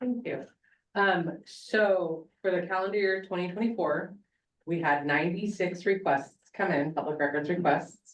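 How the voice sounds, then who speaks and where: A woman speaks in a normal speaking voice at a moderate pace, with a fairly low pitch and ordinary pitch variation. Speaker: public records officer. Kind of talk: report at board meeting.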